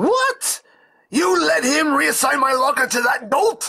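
In a put-on character voice, the speaker goes along at a fairly slow pace with a high pitch and very wide pitch swings. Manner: shrill, panicked.

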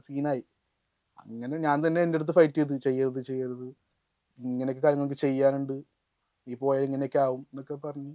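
This man's voice sits fairly high in pitch, with a dark, mellow tone and monotone, flat intonation. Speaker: rapper. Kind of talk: interview conversation.

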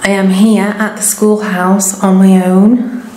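A woman's very slow, flat monotone, with audible room echo and light background noise. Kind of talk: casual vlog chat. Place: empty room. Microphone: phone near.

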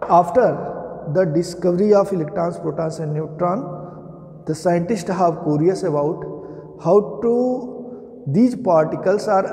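Over music in the background, a man with a high pitch speaks at a fairly slow pace with ordinary pitch variation. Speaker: teacher. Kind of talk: lecture. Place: classroom. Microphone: camera far.

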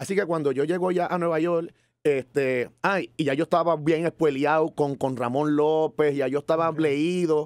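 Against a quiet background, a man talks in a plain, everyday voice at a fairly high pitch. He keeps his loudness very even and hardly pauses. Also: fairly even intonation, moderate pace, dry sound with no echo. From Puerto Rico, San Juan. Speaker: musician; podcast guest. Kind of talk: interview. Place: studio. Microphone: studio mic.

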